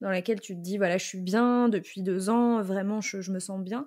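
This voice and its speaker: An unremarkable speaking voice: a woman at a medium pitch, with ordinary pitch variation and a moderate pace. The recording is very clean, with a silent background. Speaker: money coach and podcast host. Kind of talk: interview question.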